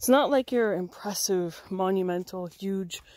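The recording of this woman is dry with no echo and a quiet background, and she talks fairly slowly with ordinary pitch variation. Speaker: camper vlogger. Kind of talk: casual vlog chat. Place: forest. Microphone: phone near.

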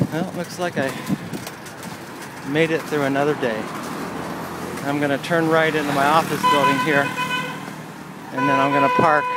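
At a moderate pace, the speaker leaves long, frequent pauses, with a dry sound with no echo and loud background noise behind. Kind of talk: casual vlog chat. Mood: relaxed, joking. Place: bicycle. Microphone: phone near.

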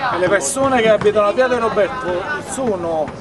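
A high-pitched man at a fairly quick pace, with clear crowd noise and clear background noise behind him. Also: ordinary pitch variation.

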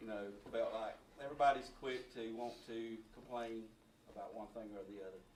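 With a Southern US accent, a man of medium pitch talks at a moderate pace with fairly even intonation and big swings in loudness, and the room echo is audible. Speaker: sheriff's office employee. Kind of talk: public comment at county meeting. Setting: county commission meeting room.

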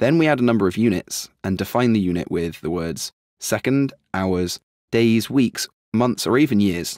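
Against a very clean recording with a silent background, a man with an unremarkable speaking voice talks at a moderate pace, medium in pitch, with lively intonation. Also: dry, close sound with no echo. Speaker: programming instructor. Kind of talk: tutorial.

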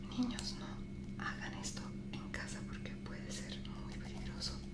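A soft-spoken woman talks in a gentle tone at a fairly slow pace. Loud background noise fills the recording. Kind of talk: tutorial with storytelling. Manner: soft ASMR voice with a gentle warning. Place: home room. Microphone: phone near.

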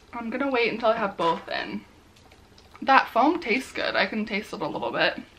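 Speaking at a moderate pace, a woman has lively intonation, a fairly high pitch and a fairly bright tone.

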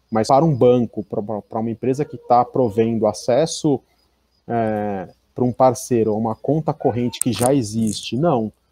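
Dry and close with no echo, a man's dark, mellow voice sits at a medium pitch with ordinary pitch variation and a moderate pace. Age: 30s. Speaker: information security executive. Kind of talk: conference talk.

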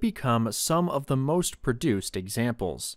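The man's voice is captured in a very clean recording with a silent background, dry and close with no echo. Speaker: military history YouTuber. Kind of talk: history documentary narration. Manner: measured, even, formal narrator's delivery; steady, explanatory, informative pace.

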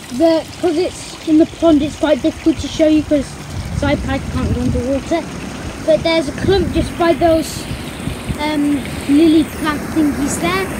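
Long pauses come often in this moderately paced speech. Underneath, the background noise is noticeable. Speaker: garden pond vlogger. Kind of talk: casual vlog chat. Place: garden. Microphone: phone near.

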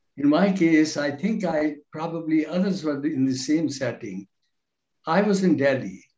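A man speaks at a fairly slow pace and fairly high pitch, with ordinary pitch variation. Audible room echo surrounds him against a quiet background. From India. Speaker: law professor. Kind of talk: panel speech. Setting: video call. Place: home room. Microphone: video call.

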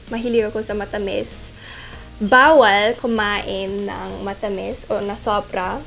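A woman with a non-native accent at a very slow pace, fairly even intonation, faint music in the background. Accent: non-native Tagalog. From half Filipino. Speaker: model. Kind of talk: casual Q&A talk to camera. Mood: playful, animated. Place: home room.

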